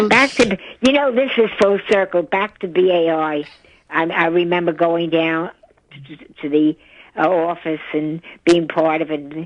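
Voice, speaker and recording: A woman with a New York accent speaks at a fairly slow pace with ordinary pitch variation. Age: 90s. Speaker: yoga teacher. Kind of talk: radio interview answer. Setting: phone line.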